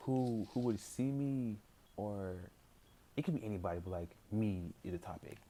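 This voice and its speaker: Mumbling at a fairly slow pace, a man speaks in a fairly low pitch with ordinary pitch variation and a dark, mellow tone. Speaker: gaming streamer. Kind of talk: casual gameplay commentary. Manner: casual, filler-heavy.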